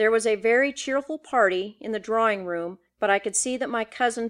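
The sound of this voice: Quiet background behind an unforced reading voice, its pitch varying in an ordinary way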